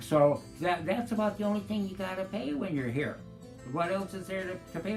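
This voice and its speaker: With music in the background, a man speaks at a moderate pace in an enthusiastic tone. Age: old. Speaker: retirement community resident. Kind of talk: testimonial interview answer. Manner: casual, chatty, enthusiastic.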